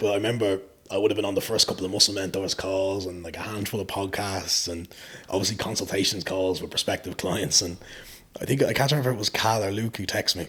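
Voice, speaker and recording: With an Irish accent, a man talks at a very fast pace in a fairly low pitch and fairly even intonation over noticeable background noise. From Ireland. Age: 20s. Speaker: fitness coach. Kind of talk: podcast interview.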